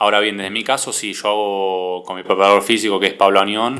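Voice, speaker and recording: Speaking at a very fast pace in a fairly low pitch, a man with an Argentine accent uses a bright, sharp tone and monotone, flat intonation on a very clean recording with a silent background. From Argentina, Buenos Aires area. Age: 20s. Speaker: athlete. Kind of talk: interview. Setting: podcast.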